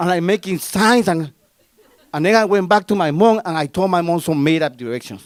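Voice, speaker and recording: This man has a Spanish accent and a high pitch for a man. He talks at a fairly quick pace with ordinary pitch variation. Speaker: storyteller. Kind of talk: live storytelling performance. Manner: casual, conversational.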